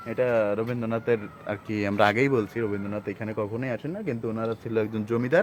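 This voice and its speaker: A man's fairly even intonation comes through with noticeable noise in the background. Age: under 60. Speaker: travel vlogger. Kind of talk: vlog narration.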